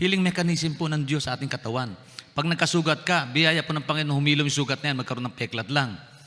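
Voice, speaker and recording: Very fast and bright with a sharp tone, a man speaks at a fairly high pitch with ordinary pitch variation. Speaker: pastor. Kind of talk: sermon. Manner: halting, repeats words.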